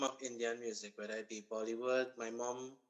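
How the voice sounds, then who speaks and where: A bright, sharp tone with a strong Trinidadian accent at a moderate pace. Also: man. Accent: thick Trinidadian. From Trinidad and Tobago, Marabella. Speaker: accountant and music event organizer. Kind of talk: radio interview.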